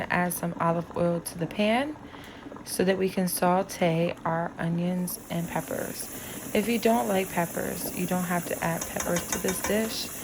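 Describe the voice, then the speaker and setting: A woman speaks at a medium pitch. There is noticeable background noise behind her. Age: 60s. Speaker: home cook. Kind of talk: cooking tutorial.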